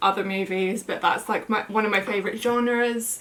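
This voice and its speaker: With a British accent, a woman talks at a fairly quick pace using fairly even intonation. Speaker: plant YouTuber. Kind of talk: casual vlog chat. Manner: casual, many fillers.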